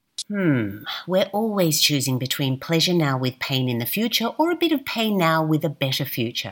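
Noticeable background noise sits behind a woman whose very deep, low pitch makes very wide swings as she speaks at a moderate pace. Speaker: podcast host. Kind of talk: scripted intro narration.

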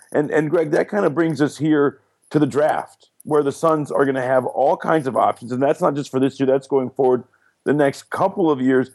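An American accent with ordinary pitch variation, in a dry, close sound with no echo and a very clean recording over a silent background. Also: man. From Detroit, Michigan. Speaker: sports radio host. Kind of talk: casual chat.

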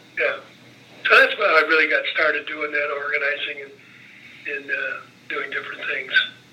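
A man speaks with a Midwestern American accent. Noticeable background noise runs behind him. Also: moderate pace. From northern Indiana (LaPorte). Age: 70s. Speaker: retired legislator and lobbyist. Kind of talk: oral history interview.

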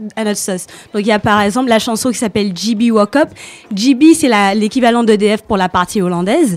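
A plain, everyday voice from a woman, fairly high in pitch, with ordinary pitch variation and a moderate pace. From Saint Martin, Caribbean. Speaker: guest columnist. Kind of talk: radio segment presentation.

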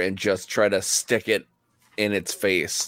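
On a very clean recording with a silent background, a man with a plain, everyday voice speaks at a fairly low pitch and a fairly slow pace. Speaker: tabletop game player. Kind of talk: tabletop roleplaying game session.

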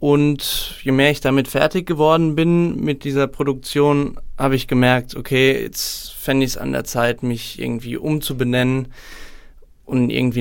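Using an unremarkable speaking voice, a man talks at a medium pitch and a moderate pace with ordinary pitch variation. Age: 20s. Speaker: singer-songwriter and student. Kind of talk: casual interview. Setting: studio.

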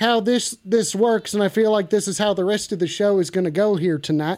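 A man with a high-pitched voice. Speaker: call-in show host. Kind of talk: comedic call-in stream. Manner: loud; animated.

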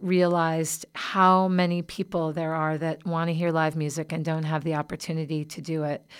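A woman with a plain, everyday voice speaks at a moderate pace and fairly low pitch with fairly even intonation, in a very clean recording with a silent background. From US South. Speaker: singer-songwriter. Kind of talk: interview. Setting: studio.

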